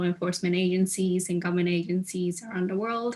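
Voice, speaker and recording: This woman talks at a very fast pace. Her pitch is medium. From Japan. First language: Japanese. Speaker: legal policy specialist, alumna panelist. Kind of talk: career panel talk. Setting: video call from Japan. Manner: halting, many fillers.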